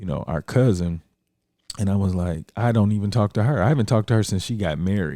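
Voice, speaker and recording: On a very clean recording with a silent background, a man speaks. His pitch is very deep and low, and his tone dark and mellow. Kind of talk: casual chat. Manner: fast.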